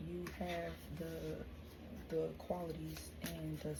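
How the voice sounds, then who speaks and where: A woman's speech carries audible room echo, with noticeable background noise behind it. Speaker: tarot reader. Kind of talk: tarot reading.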